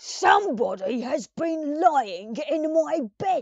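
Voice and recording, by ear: This is a put-on character voice, high-pitched and gruff. It drags along at a very slow pace.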